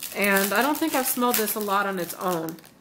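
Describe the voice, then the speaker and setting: Amid noticeable background noise and audible room echo, a woman with a fairly high pitch talks fairly quickly with ordinary pitch variation. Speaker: beauty and home haul vlogger. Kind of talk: product review haul video.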